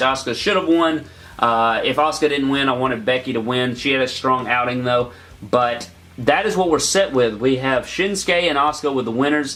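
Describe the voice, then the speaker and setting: At a fairly quick pace, a man with a medium pitch and ordinary pitch variation speaks over noticeable background noise and audible room echo. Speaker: YouTuber reviewing wrestling shows. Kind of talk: casual video review. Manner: fast.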